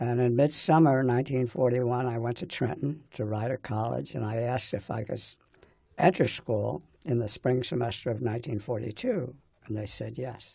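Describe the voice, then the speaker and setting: A man with a dark, mellow tone speaks at medium pitch and a moderate pace, somewhat breathy, with ordinary pitch variation. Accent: American. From New Jersey, US. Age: 90s. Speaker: war veteran. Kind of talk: oral history interview. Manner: halting.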